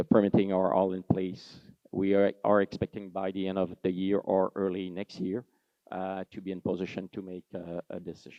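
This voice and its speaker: Speaking in a French-Canadian accent, a man with a very deep, low voice keeps a flat monotone while his loudness swings widely. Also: moderate pace. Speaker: mining executive. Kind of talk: conference presentation. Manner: halting, with frequent fillers.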